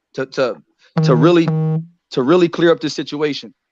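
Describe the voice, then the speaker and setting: A man talks with fairly even intonation. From Texas. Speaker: boxing interviewer. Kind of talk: interview. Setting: live stream. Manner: halting, many repeated words.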